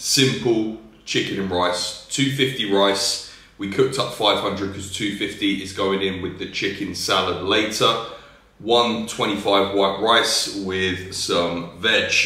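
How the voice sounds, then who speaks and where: A man with a British accent speaks at a very slow pace in a fairly low pitch, his intonation fairly even, with audible room echo. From UK. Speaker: fitness YouTuber and coach; fitness YouTuber, coach. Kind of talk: casual vlog narration. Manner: casual, chatty. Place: home room. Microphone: phone near.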